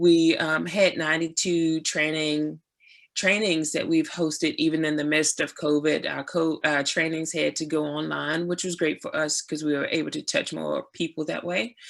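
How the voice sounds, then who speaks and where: The speech moves at a moderate pace in a very clean recording with a silent background. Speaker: community food market founder. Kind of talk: panel presentation.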